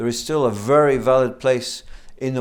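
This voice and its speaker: Recorded very cleanly against a silent background, a man speaks. His pitch is medium and his pace fairly quick. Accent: Scottish. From Scotland. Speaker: business school program director. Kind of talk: interview.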